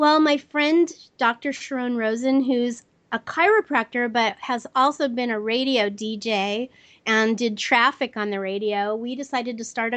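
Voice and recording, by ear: A woman at a fairly high pitch and fairly slow pace, fairly bright in tone, with fairly even intonation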